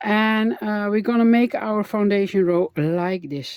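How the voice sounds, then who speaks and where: Talking at a fairly slow pace with a Dutch accent, a woman uses a fairly high pitch and ordinary pitch variation in a dry, close sound with no echo. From Netherlands. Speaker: crochet instructor. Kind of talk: tutorial. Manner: halting, many fillers.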